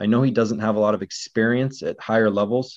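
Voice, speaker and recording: A man with an American accent and an unremarkable speaking voice talks at a fairly quick pace, with a fairly low pitch and fairly even intonation. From Northwest Washington, US. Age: 30s. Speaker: baseball blogger. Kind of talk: casual chat.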